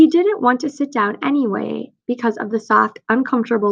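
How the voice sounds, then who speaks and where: Ordinary pitch variation marks a woman's fairly high voice at a moderate pace. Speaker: teacher. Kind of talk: reading aloud; casual chat.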